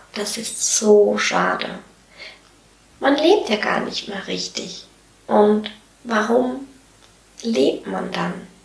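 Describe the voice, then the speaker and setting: Over noticeable background noise and audible room echo, a woman speaks very slowly with long, frequent pauses and big swings in loudness. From Switzerland. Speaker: podcast host, self-employed coach. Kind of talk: solo podcast monologue. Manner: animated.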